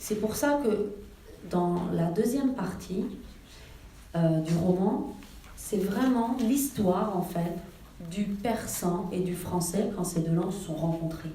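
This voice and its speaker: A woman speaks at a medium pitch with ordinary pitch variation, at a very slow pace with long, frequent pauses. Noticeable background noise and audible room echo fill the recording. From Iran, raised in France from age six. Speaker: novelist. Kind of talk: author talk. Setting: library event with audience. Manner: hesitant, many fillers.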